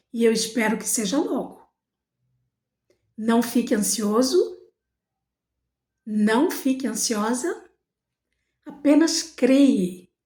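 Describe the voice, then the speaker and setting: A dark, mellow voice moves at a very slow pace with lively intonation and long, frequent pauses. Audible echo fills the room. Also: woman, high pitch for a woman. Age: 60s. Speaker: spiritual motivational vlogger. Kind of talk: motivational monologue.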